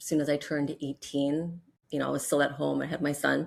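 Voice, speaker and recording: With vocal fry, a woman speaks in a very deep, low voice at a fairly quick pace with monotone, flat intonation. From Hawaii, then California. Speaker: mental health counselor, group practice founder. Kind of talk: interview.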